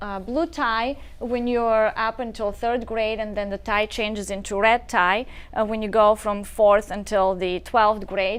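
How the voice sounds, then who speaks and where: A fairly slow voice in a Bulgarian accent over a quiet background. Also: woman, fairly high pitch for a woman, fairly even intonation. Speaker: nonprofit founder. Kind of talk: talk show interview.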